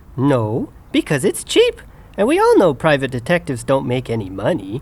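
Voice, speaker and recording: This put-on character voice sits at a low-to-middle pitch. The pace is moderate. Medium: audio drama.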